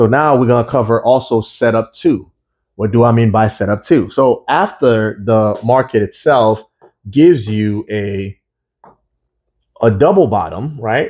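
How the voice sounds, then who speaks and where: A man speaks at a fairly slow pace in a medium pitch. He has a plain, everyday voice. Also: ordinary pitch variation. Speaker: forex trading educator. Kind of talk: tutorial.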